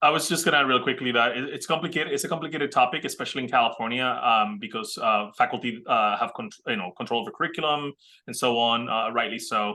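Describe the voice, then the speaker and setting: A man talks at a very fast pace with hardly any pauses. His pitch is medium, with ordinary pitch variation. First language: not English. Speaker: community college administrator. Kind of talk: panel discussion.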